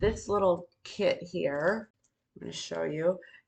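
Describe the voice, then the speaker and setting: At a fairly slow pace, a woman talks in a fairly low pitch with vocal fry and ordinary pitch variation. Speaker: beauty and skincare content creator. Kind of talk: casual talk to camera, beauty tutorial. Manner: friendly, conversational, explanatory.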